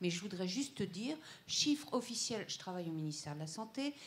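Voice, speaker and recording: A somewhat breathy woman at a moderate pace, with very wide pitch swings. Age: 60s. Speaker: audience member, ministry employee. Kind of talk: audience comment.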